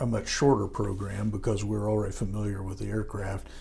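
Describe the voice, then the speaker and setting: With an American accent, a man talks in a fairly low pitch. Audible room echo is present. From US Midwest, Indiana (Howard County). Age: 70s. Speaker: war veteran. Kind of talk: oral history interview. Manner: halting, many fillers.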